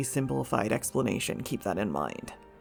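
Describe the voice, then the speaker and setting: Fairly quick-paced speech with music in the background. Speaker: gaming lore video creator. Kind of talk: scripted narration.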